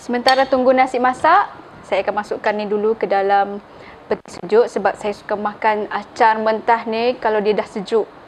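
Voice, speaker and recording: There is light background noise. A woman speaks at a moderate pace with fairly even intonation. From Sabah, Malaysia. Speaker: cooking channel host. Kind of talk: cooking tutorial. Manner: casual, frequent fillers like okey. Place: kitchen.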